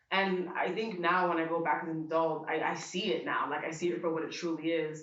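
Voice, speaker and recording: Monotone, flat speech comes at a fairly quick pace, with audible room echo and noticeable background noise. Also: woman, fairly low pitch for a woman. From US, Dominican family. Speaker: event attendee interviewee. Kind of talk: casual interview. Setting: art exhibition event.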